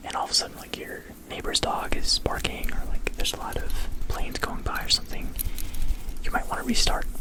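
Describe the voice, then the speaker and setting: Someone whispers at a very fast pace, broken by long, frequent pauses, with noticeable background noise. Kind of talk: ASMR whisper ramble to camera. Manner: whispered, casual, rambling.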